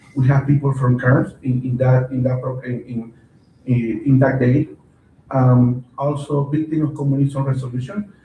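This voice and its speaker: Speaking in a Spanish accent at a moderate pace, a man keeps a monotone, flat intonation at medium pitch. His tone is dark and mellow and somewhat breathy. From Venezuela. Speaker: county council member. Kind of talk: council meeting report. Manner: halting, many fillers and repeats.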